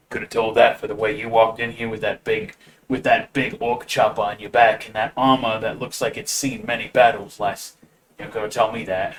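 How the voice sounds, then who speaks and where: A man performs a gruff, rumbling put-on character voice at medium pitch. His loudness swings widely as he talks at a fairly quick pace. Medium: actual play. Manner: gruff, grumbling.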